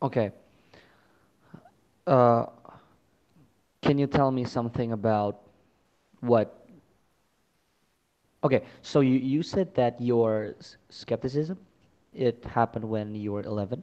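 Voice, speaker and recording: Pausing long and often, a man with a dark, mellow tone speaks at a fairly slow pace and medium pitch, with ordinary pitch variation and big swings in loudness. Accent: non-native. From Indonesia, Chinese-Indonesian family. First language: not English. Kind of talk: casual debate about religion. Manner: halting.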